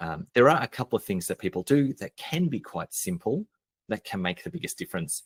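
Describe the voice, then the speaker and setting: In an Australian accent, the speaker moves at a fairly quick pace with very wide pitch swings and vocal fry, in a dry, close sound with no echo. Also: man, medium pitch for a man. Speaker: marketing expert and business coach. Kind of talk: podcast interview. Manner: casual, conversational with fillers.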